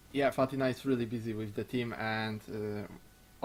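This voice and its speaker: A man speaks in an ordinary speaking voice at medium pitch, with fairly even intonation. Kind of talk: casual discussion.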